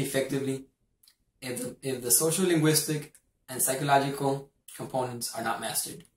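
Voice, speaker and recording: This man's voice is fairly high and somewhat breathy. He talks at a fairly quick pace with fairly even intonation. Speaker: university student. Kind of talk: class presentation. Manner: formal.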